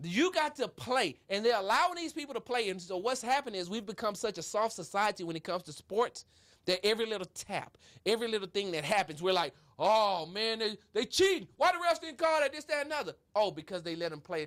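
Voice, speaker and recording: Loud and animated, a high-pitched man talks at a very fast pace with very wide pitch swings. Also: very clean recording, silent background. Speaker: sports talk show host. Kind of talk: casual sports debate.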